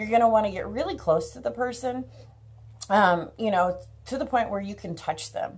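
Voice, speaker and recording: Speaking at a moderate pace, a woman with a fairly high pitch uses lively intonation, vocal fry and big swings in loudness. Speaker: elder care educator. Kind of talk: tutorial. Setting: outdoors. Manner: casual, many fillers.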